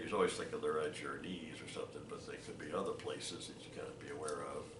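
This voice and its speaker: Over noticeable background noise, a man with an American accent talks at a very fast pace. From Ohio. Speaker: war veteran. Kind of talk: interview. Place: home room. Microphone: webcam.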